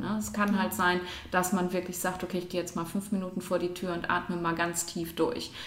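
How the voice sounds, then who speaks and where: Through audible room echo and noticeable background noise, a woman speaks at a moderate pace in a medium-pitched, monotone, flat voice. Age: 40s. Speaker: neurologist. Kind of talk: expert interview. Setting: at her home.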